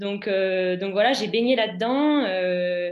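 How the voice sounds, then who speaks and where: Very slowly, a woman with a fairly high pitch talks with ordinary pitch variation. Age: 20s. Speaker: student athlete. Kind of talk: webinar interview. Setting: online webinar.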